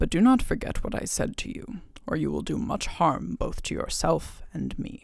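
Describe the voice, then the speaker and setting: The put-on character voice moves along at a moderate pace. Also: man. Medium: read story.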